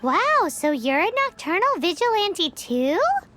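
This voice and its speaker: A put-on character voice at an extremely high pitch, with very wide pitch swings. The pace is fairly slow, with faint music in the background. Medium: fan dub. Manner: eager, chatty.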